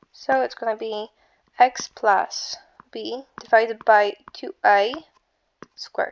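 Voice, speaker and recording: A woman speaks with an Eastern European accent. Her pace is very slow. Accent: Slavic. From Slavic country. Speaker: math tutor. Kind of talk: casual math tutorial. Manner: casual, hesitant.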